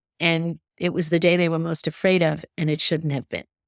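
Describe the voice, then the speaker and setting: A woman speaks at a fairly low pitch and a moderate pace. The sound is dry and close, with no echo. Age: 60s. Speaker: dog behavior expert. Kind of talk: podcast interview.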